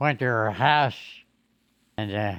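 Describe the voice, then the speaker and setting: A man with a Southern US accent speaks in a fairly low pitch with ordinary pitch variation over a quiet background. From Mississippi, USA. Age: 80s+. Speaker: WWII veteran. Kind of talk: interview answer.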